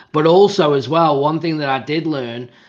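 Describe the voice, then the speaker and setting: A man talks with an English accent. He keeps a moderate pace. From England. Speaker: podcast host. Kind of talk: podcast interview.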